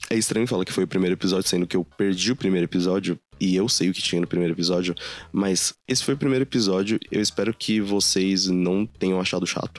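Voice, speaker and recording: In a very clean recording with a silent background and a dry, close sound with no echo, a man with a very deep, low voice and a Brazilian accent talks very fast with fairly even intonation. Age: 20s. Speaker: podcast host. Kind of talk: solo personal monologue.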